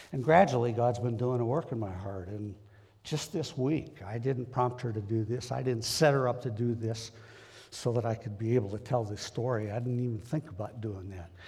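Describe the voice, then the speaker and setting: At a moderate pace, a man talks in a medium pitch with a dark, mellow tone, ordinary pitch variation and a somewhat breathy quality. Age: 70s. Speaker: lay preacher. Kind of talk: sermon. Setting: church. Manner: halting.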